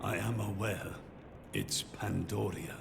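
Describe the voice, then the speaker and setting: Over loud background noise, a man uses a put-on character voice with a fairly low pitch at a fairly slow pace. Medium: machinima. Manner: deferential.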